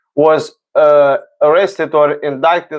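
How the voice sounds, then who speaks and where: A man with a non-native accent talks at a fairly high pitch, his intonation fairly even. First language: not English. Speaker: talk show host. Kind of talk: casual livestream monologue. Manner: halting, many fillers. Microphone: own mic close by.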